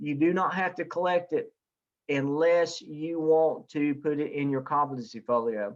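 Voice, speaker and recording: Listen to a man with a Southern US accent. His pitch variation is ordinary. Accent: Southern US (Wilkes County) dialect. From US South, Wilkes County, North Carolina. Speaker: professor. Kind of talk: online class Q&A session. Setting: video call. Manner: casual, hesitant with many fillers.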